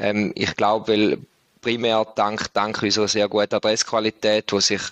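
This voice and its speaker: A man speaks at a moderate pace with a fairly low pitch and monotone, flat intonation. The sound is dry and close, with no echo. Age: 30s. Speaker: company managing director. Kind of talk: podcast interview.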